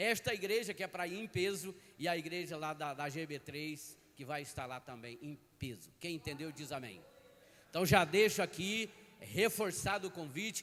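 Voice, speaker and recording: Using a plain, everyday voice, a man talks at a moderate pace and fairly high pitch with lively intonation and big swings in loudness. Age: 60s. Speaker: pastor. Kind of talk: sermon. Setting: church.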